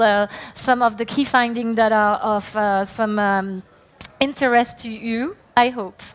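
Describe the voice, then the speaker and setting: At a fairly slow pace, a woman with a French accent speaks with a fairly high pitch and fairly even intonation. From France. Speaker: company CEO, conference speaker. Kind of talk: conference talk. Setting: stage with audience. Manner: hesitant, many fillers.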